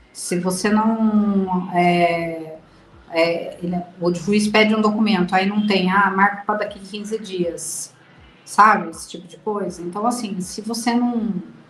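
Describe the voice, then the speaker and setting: A woman at a medium pitch speaks at a very slow pace with fairly even intonation and big swings in loudness, with audible room echo and noticeable background noise. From Brazil. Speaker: mother of abducted child. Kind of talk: interview testimony.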